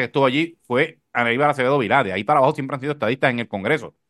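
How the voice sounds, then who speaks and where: A very fast male voice with vocal fry and a bright, sharp tone, dry and close with no echo, against a quiet background. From Puerto Rico. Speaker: podcast host, communicator. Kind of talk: casual political chat.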